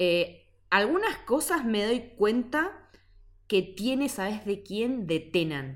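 A woman talks at a very slow pace in a fairly high pitch. Her pitch swings very widely. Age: 30s. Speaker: podcast co-host. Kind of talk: casual chat.

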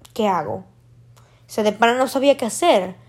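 A woman speaks in an animated tone. Her pitch is high, with ordinary pitch variation. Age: young. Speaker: podcaster. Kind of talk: casual monologue.

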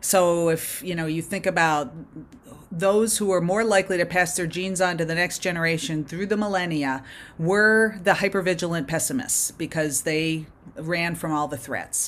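In an unremarkable speaking voice, a woman with a fairly low pitch talks at a moderate pace with ordinary pitch variation. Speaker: performance psychologist. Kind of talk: interview answers, explanatory.

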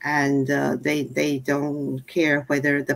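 A woman speaks in a very deep, low voice with vocal fry. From Taiwan. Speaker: city council member. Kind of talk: panel discussion.

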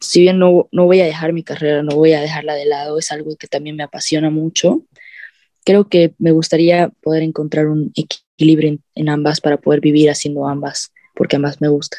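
A woman's very deep, low, dark and mellow voice, monotone and flat in intonation, at a moderate pace, in a dry, close sound with no echo. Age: 20s. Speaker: university student and singer-songwriter. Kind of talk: casual interview.

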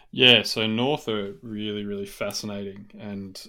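Fairly low in pitch and bright, sharp in tone, a man talks at a moderate pace in an Australian accent. The recording is very clean, with a silent background. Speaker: AFL podcast co-host. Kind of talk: casual chat.

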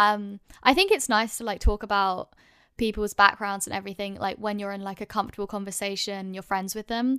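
A speaker with a London accent talks at a fairly quick pace with fairly even intonation but big swings in loudness. The recording is very clean, with a silent background. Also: woman, medium pitch for a woman. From London, England. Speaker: YouTuber guest.

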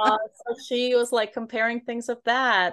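With an American accent and a fairly high pitch, a woman talks against a quiet background. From Brooklyn, New York. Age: 40s. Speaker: author. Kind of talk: interview.

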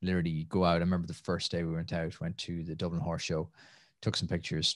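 A man's very deep, low voice in a Tipperary accent, monotone and flat at a very fast pace, in a very clean recording with a silent background. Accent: Irish (Tipperary). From Ireland, Tipperary (near Nenagh). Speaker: entrepreneur and podcaster. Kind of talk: casual interview.

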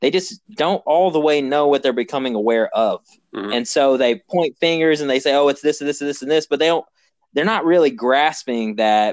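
A man with an ordinary speaking voice talks at a fairly quick pace, fairly high in pitch with ordinary pitch variation. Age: 20s. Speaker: podcast host. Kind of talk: casual interview chat.

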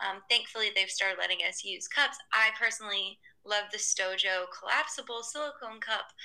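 Speaking at a moderate pace with an American accent, a woman uses an ordinary speaking voice, her fairly high pitch varying in an ordinary way. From US South, Atlanta. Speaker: sustainable lifestyle blogger and entrepreneur. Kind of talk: casual interview.

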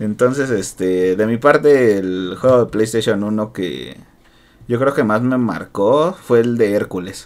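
This man's fairly low voice moves at a very slow pace with ordinary pitch variation. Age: 20s. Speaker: podcast host. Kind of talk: casual chat.

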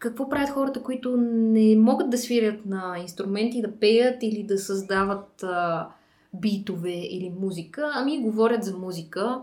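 A woman with a dark, mellow tone speaks at a fairly slow pace, her fairly high pitch showing ordinary variation amid audible room echo. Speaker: podcast host. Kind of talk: casual interview. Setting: studio.

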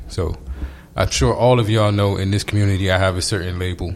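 Very deep and low, a man's voice races at a very fast pace with fairly even intonation. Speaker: podcast host. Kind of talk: casual chat.

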